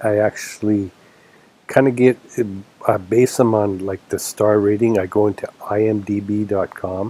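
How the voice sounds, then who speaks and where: A man with a Canadian accent speaks at a fairly low pitch with fairly even intonation. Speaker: vlogger. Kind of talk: casual chat. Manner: hesitant, with fillers.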